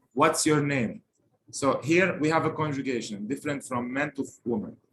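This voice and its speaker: Lively intonation in a Lebanese accent. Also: man. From Lebanon. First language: Lebanese Arabic. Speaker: language teacher. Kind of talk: language lesson.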